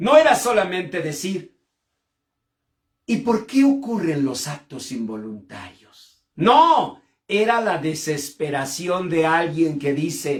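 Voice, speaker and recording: A man with a high pitch speaks at a very slow pace, with very wide pitch swings, big swings in loudness and long, frequent pauses. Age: 60s. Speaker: pastor and clinical psychologist. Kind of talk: sermon. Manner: impassioned.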